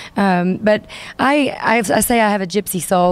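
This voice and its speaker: A woman speaks with a Southern US accent. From US South, Arkansas (Hot Springs). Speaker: singer-songwriter. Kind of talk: interview. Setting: music venue.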